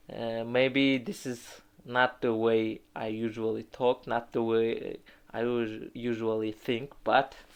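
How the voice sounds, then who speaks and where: A man with a non-native accent, medium pitch, monotone, flat intonation and a very slow pace. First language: not English. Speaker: English learner practicing speaking. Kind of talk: solo monologue practice. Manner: loud; halting. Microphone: phone recording.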